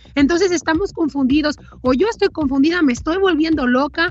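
Over noticeable background noise, a woman speaks at a very fast pace with lively intonation. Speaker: political commentator. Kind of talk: editorial commentary.

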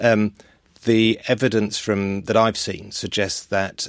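A man with a London accent at a fairly slow pace, monotone and flat, in a very clean recording over a silent background. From North London, Welsh family. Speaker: author and consultant. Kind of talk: interview chat.

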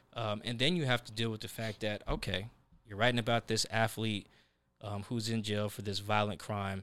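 A man speaks with an American accent and fairly even intonation in an ordinary speaking voice. The recording is very clean, with a silent background. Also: fairly low pitch for a man, moderate pace. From US Northwest, South Seattle. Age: 20s. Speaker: sports journalist. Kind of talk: casual interview.

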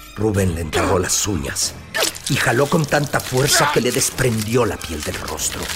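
With music in the background, a man of medium pitch speaks in a dramatic tone at a fairly slow pace, his pitch swinging very widely. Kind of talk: horror narration. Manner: slow, hushed, ominous delivery that lingers on gruesome details; dramatic, grave, building dread.

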